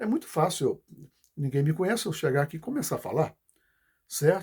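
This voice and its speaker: With lively intonation, a man speaks at a fairly quick pace in a fairly high voice. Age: 60s. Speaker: political commentator. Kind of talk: video message monologue. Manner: halting.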